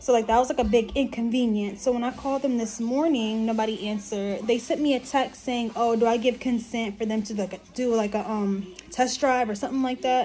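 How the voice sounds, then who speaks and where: With an American accent, a woman speaks at a fairly quick pace and a fairly high pitch, with hardly any pauses. Her tone is animated, and there is light background noise. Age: 20s. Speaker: vlogger, stay-at-home mom; vlogger. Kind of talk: angry rant, storytime vlog venting about car dealership. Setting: in a car, vlogging while driving. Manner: animated, indignant, sassy; casual, chatty, fast-paced storytelling. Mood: annoyed, venting. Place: home room. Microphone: phone near.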